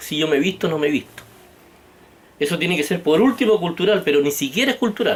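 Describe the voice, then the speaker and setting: Animated tone and lively intonation in a Chilean accent. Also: man. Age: 60s. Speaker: political vlogger. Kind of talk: political monologue.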